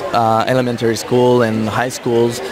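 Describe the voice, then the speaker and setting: Medium-pitched male voice in a French-Canadian accent, with audible room echo and noticeable background noise. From Quebec. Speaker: cheese expert. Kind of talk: casual interview chat. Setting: radio booth at a trade show.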